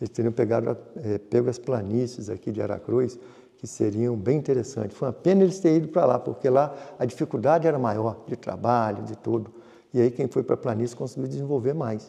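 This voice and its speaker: A man uses a normal speaking voice at a medium pitch, with ordinary pitch variation and a fairly quick pace. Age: 60s. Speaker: farmer and businessman. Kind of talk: interview.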